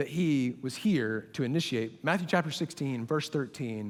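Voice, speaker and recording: Very wide pitch swings mark this man's animated tone at a moderate pace. The recording is very clean, with a silent background. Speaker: college ministry pastor. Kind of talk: sermon.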